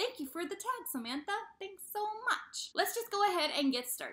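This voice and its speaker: Raising and projecting her voice, a woman speaks in a bright, sharp tone with very wide pitch swings. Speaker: book vlogger. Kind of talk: casual chat.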